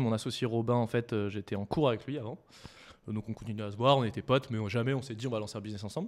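A man with a medium pitch talks at a very fast pace with fairly even intonation. The recording is very clean, with a silent background. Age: 20s. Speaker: startup co-founder. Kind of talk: casual interview chat.

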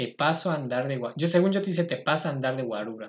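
This man talks in an ordinary speaking voice, fairly high in pitch, with lively intonation. The background is quiet. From Mexico, State of Mexico. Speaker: podcast host. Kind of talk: casual chat.

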